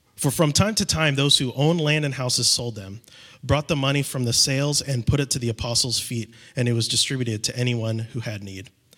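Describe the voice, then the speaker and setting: This man has a normal speaking voice at medium pitch, moving at a fairly quick pace with ordinary pitch variation. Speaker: scripture reader. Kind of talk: reading aloud. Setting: church.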